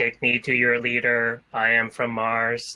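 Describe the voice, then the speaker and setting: Using a robotic, put-on character voice, a man speaks at a fairly slow pace with a medium pitch and monotone, flat intonation. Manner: stilted, cliched sci-fi.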